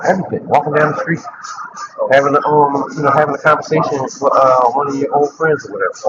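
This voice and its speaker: Noticeable background noise sits behind a man talking at a very fast pace. His pitch is fairly high, with ordinary variation. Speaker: vlogger, content creator. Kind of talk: casual walking vlog. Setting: outdoors, walking. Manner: loud at times; repetitive, halting.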